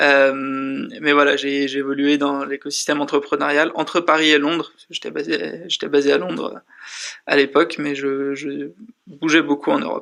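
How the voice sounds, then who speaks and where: A man speaks at a fairly high pitch in a bright, sharp tone. His intonation stays monotone and flat. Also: moderate pace. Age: 20s. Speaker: startup school dean. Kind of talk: interview. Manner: hesitant, many fillers.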